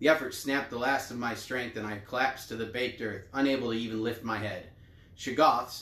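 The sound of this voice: The clip is an unforced reading voice. Nothing else stands out.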